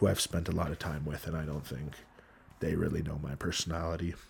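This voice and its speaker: A man speaks in a somewhat breathy voice with fairly even intonation. The recording is very clean, with a silent background. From Hawaii. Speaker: former college football player. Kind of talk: casual chat.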